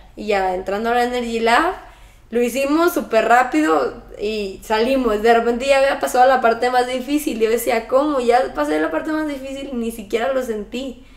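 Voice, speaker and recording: With a Mexican accent, a woman speaks at a moderate pace and a fairly high pitch, her pitch varying in an ordinary way amid audible room echo. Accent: Mexican Spanish (Jalisco). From Mexico, Guadalajara; Jalisco, Mexico. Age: 20s. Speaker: triathlete; interviewee. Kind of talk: interview. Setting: at her home. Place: home room.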